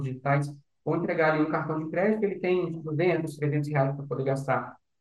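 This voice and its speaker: A man speaks in a somewhat breathy voice, with audible room echo around it. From Recife, Brazil, raised in Brasília. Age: 20s. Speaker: startup founder. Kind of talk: interview.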